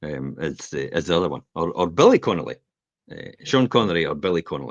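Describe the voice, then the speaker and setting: A man speaks very fast in a very deep, low voice with vocal fry and lively intonation. His loudness swings widely, and the sound is dry and close with no echo. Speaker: property investor, show co-host. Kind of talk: casual business discussion show. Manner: halting, frequent repetitions.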